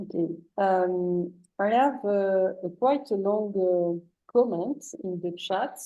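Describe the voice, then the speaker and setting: At a very slow pace, a woman with a French accent speaks at a medium pitch with ordinary pitch variation. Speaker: session moderator reading chat questions. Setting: online seminar.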